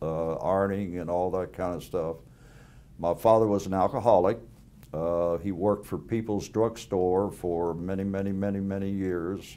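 With an American accent, a man speaks at a moderate pace in a very deep, low voice, keeping his intonation fairly even. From US South. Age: 80s. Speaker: war veteran. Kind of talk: oral history interview. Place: home room. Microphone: lapel.

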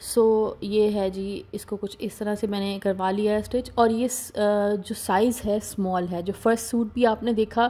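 Her fairly high voice carries a dark, mellow tone as this woman speaks fairly slowly in a flat monotone with hardly any pauses. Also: very clean recording, silent background. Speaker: fashion vlogger. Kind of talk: product showcase video. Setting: voice-over recording.

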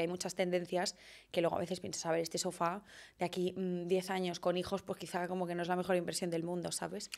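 Over a quiet background, a woman rattles along at a very fast pace in a fairly low pitch. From Barcelona, Spain; Spain. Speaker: fashion content creator and stylist; fashion content creator. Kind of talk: casual interview chat. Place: studio. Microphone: studio mic.

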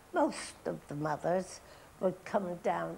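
Light background noise sits behind the recording. A woman speaks at a very slow pace. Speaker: interviewee. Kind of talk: interview answer. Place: studio. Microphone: lapel.

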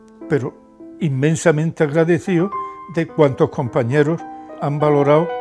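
Music plays clearly behind the voice. It belongs to a man. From Andalusia, Spain. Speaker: retired trade unionist. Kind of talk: interview answer. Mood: grateful, humble, emotional. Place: office.

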